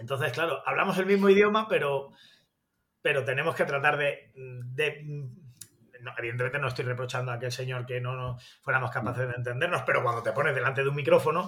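Bright and sharp in tone, a man's fairly high voice moves at a very fast pace with ordinary pitch variation. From Spain, Granada. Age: 40s. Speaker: sports journalist. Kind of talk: interview.

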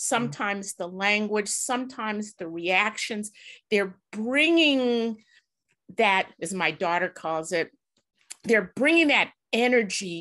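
Against a quiet background, a woman with an American accent talks very slowly in a bright, sharp tone with lively intonation. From US Midwest, South Side Chicago. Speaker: corporate inclusion executive. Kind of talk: interview.

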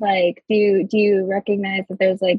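A woman's voice comes across somewhat breathy, medium in pitch. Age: 20s. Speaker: professional cuddler. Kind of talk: casual chat.

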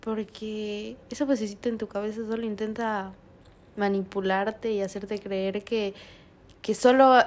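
This woman speaks at a fairly slow pace. Her intonation is fairly even. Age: 20s. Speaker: podcast guest. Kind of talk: casual chat.

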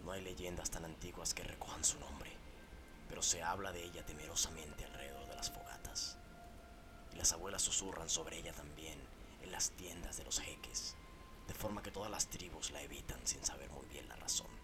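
Whispering at a moderate pace comes over music in the background. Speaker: horror story narrator. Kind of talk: scripted narration of a horror story, read aloud as a first-person ghost tale. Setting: studio podcast recording. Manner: solemn, formal, gravely expressive storytelling tone.

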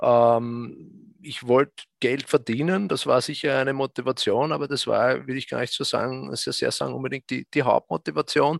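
A man at a moderate pace, recorded with a dry, close sound and no echo. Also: hardly any pauses. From Austria, south of Vienna. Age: 40s. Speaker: fund manager. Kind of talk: interview. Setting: remote live stream from office. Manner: halting, many fillers.

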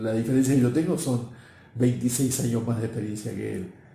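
In a room with audible echo, a man speaks in a somewhat breathy, dark, mellow tone with fairly even intonation. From Argentina, Buenos Aires. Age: 60s. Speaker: marketing professional and speaker. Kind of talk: interview.

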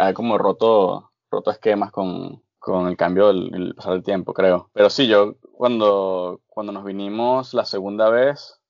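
A man has an ordinary speaking voice. His pitch is fairly low and his intonation fairly even. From Venezuela, Barquisimeto (Lara). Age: 20s. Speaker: chef. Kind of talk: casual interview.

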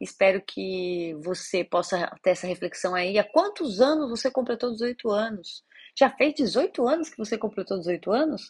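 A somewhat breathy woman with a fairly high pitch and lively intonation speaks at a fairly slow pace with hardly any pauses, in a dry, close sound with no echo over a quiet background. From Brazil, São Paulo city. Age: 30s. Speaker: podcast host. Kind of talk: casual monologue.

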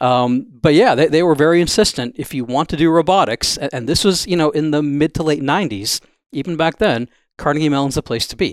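With a very clean recording, silent background and a dry, close sound with no echo, a man in an unremarkable speaking voice talks at a fairly quick pace, fairly high in pitch with ordinary pitch variation. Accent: American. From Wisconsin. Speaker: robotics entrepreneur. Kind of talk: interview.

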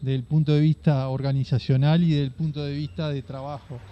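A man speaks with a Uruguayan accent. His voice is fairly high in pitch with a dark, mellow tone. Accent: Uruguayan Rioplatense Spanish. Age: 40s. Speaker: cattle farmer and livestock broker. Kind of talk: interview storytelling.

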